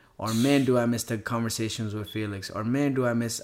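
With a plain, everyday voice, a man speaks at medium pitch and a moderate pace, his intonation fairly even, on a very clean recording with a silent background. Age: 30s. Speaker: professional skateboarder. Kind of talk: casual chat.

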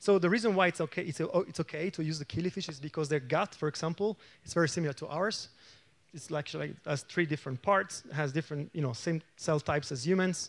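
A man with an Italian accent at a very fast pace, fairly high in pitch, ordinary pitch variation, a quiet background and a dry, close sound with no echo. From Italy. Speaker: aging researcher. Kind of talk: lecture.

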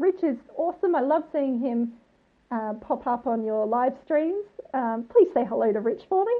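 With an Australian accent, a high-pitched woman talks at a moderate pace, her pitch swinging very widely. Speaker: listener and bride-to-be. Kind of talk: voice message. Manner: excited.

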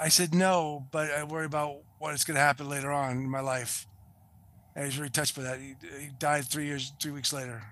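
In a Boston accent, a man talks at a fairly quick pace with a fairly high pitch and monotone, flat intonation. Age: 60s. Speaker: film and television production veteran. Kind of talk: interview.

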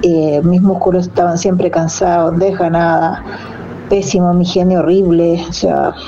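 A woman speaks at medium pitch and a moderate pace. There is audible room echo and noticeable background noise. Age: 40s. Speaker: amateur trail runner. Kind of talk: testimony.

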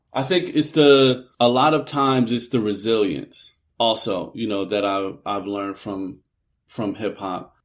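A man with an American accent at medium pitch, with ordinary pitch variation and a fairly slow pace, on a very clean recording with a silent background. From US Northeast, West Philadelphia. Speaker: TV producer and author. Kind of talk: interview.

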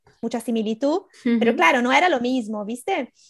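Lively intonation in a Brazilian accent. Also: woman. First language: Portuguese (speaking Spanish). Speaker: writer. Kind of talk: casual interview chat. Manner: halting, many fillers.

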